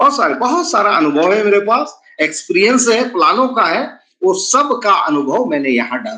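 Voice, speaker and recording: A man's raised, projected voice, high in pitch, with a bright, sharp tone and very wide pitch swings. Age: 60s. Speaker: network marketing presenter. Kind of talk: sales pitch. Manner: animated.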